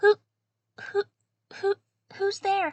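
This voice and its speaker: A squeaky, put-on character voice carries the whole delivery. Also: woman. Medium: actual play.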